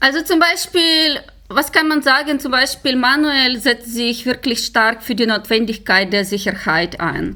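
Raising and projecting her high voice, a woman talks at a fairly slow pace with lively intonation. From Ukraine. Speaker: security researcher. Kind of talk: interview.

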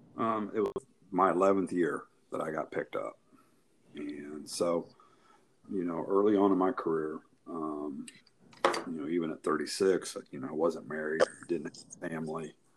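With noticeable background noise behind him, a man speaks at a moderate pace in a very deep, low pitch, leaving long, frequent pauses. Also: ordinary pitch variation. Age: 50s. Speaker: basketball referee. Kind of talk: casual interview.

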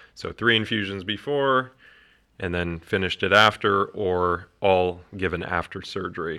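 A loud man's voice, very deep and low yet bright and sharp in tone, over a quiet background. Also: ordinary pitch variation, moderate pace. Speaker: oncologist. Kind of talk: casual chat. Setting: studio.

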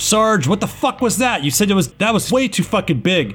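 A man's put-on character voice, gruff and shouting, high in pitch, with lively intonation, a fairly quick pace and very even loudness. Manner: shouted, agitated.

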